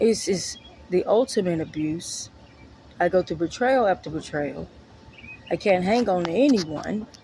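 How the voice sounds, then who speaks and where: A woman at a medium pitch talks at a fairly slow pace with lively intonation and long, frequent pauses over noticeable background noise. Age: 30s. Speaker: vlogger, mother. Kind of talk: personal vlog monologue.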